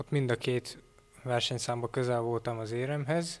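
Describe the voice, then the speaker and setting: This man's pace is moderate. His pitch stays at a medium level. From Hungary, Zala county; Hungary. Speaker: athlete. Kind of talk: interview. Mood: calm, modest. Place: office. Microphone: handheld.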